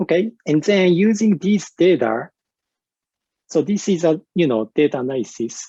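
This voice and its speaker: Speaking with a Japanese accent at a moderate pace, a man with a high pitch and lively intonation has a dark, mellow tone in a dry, close sound with no echo. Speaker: university researcher and English teacher. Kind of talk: conference presentation. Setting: virtual conference. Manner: hesitant with many fillers.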